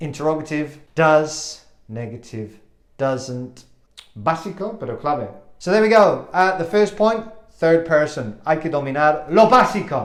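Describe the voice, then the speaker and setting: With very wide pitch swings, a man speaks at a fairly high pitch and a fairly slow pace amid audible room echo. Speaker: English teacher. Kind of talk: language lesson.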